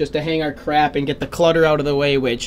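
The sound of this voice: A man speaks at a fairly quick pace over faint background noise.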